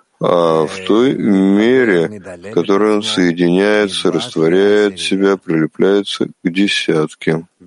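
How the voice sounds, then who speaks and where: In a dry, close sound with no echo, a man with a fairly low pitch speaks at a very slow pace, his intonation fairly even. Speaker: interpreter of a kabbalah lesson. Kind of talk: religious lesson.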